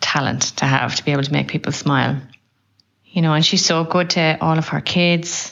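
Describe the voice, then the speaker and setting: Vocal fry runs through speech delivered at a moderate pace, with fairly even intonation and very even loudness. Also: woman, very deep, low pitch for a woman. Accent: Irish. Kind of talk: recorded tribute message.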